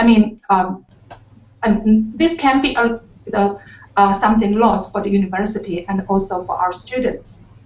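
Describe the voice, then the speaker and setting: Ordinary pitch variation at a fairly slow pace. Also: woman. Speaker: university lecturer. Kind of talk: panel discussion. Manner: halting, many fillers.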